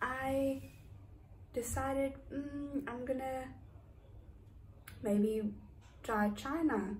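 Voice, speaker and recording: A woman speaks at a very slow pace with lively intonation, noticeable background noise and audible room echo. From South Africa, East London. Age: 30s. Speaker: vlogger. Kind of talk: casual chat. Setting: indoors, raining outside.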